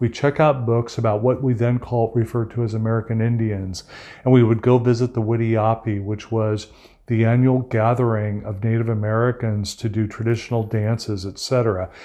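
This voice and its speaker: A man speaks in a flat monotone with a dark, mellow tone at medium pitch. The background is quiet. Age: 60s. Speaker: ocean activist. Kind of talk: interview conversation. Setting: at his home.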